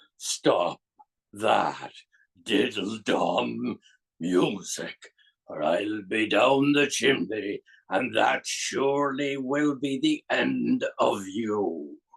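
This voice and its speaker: Put-on character voice from a man, medium pitch, very slow delivery. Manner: slow, threatening.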